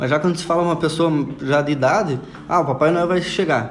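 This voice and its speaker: A man's high-pitched voice at a fairly quick pace, with audible room echo and noticeable background noise. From Paraná, southern Brazil (União da Vitória). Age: 20s. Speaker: co-host, hypnosis student. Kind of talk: casual educational chat.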